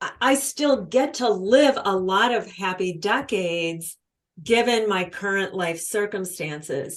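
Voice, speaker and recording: A woman talks at a fairly slow pace with lively intonation. She has an ordinary speaking voice at a medium pitch. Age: 60s. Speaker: author and speaker on women's purpose. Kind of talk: podcast interview.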